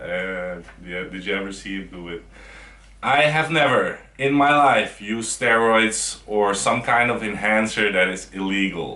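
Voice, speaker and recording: Heard with audible room echo, a man with a Dutch accent speaks at a fairly slow pace and a fairly low pitch, his pitch varying in an ordinary way while his loudness swings widely. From Netherlands. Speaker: bodybuilder. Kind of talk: casual chat.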